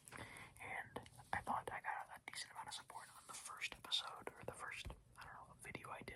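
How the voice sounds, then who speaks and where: The whispering moves along at a moderate pace. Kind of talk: casual talk to camera. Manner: whispered, soft-spoken.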